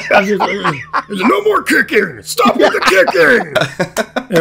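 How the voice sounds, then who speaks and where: A man's put-on character voice, high in pitch and very slow, over clear background noise. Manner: growling, commanding.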